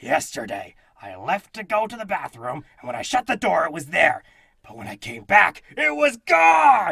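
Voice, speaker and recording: Using a put-on character voice, a man speaks at a high pitch. He keeps a moderate pace. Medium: audio drama. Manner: blustery, dramatic.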